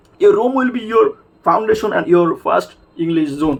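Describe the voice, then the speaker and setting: Noticeable background noise runs under the speech. The speaker talks with a Bengali accent. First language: Bangla. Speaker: English learning video maker. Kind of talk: informal tutorial. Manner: halting, many fillers.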